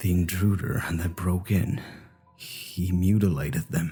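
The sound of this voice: Doing a put-on character voice, a man speaks shakily in a very deep, low pitch at a fairly slow pace with ordinary pitch variation, faint music playing in the background.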